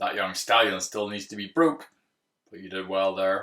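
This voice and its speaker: Using a put-on character voice, a man speaks at a moderate pace in a fairly low pitch. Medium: read story. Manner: dry, understated.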